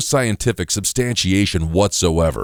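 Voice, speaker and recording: On a very clean recording with a silent background and a dry, close sound with no echo, a man speaks in an unremarkable speaking voice, fairly low in pitch, at a moderate pace with lively intonation. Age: 60s. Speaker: spokesperson for a health product. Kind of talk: scripted sales pitch.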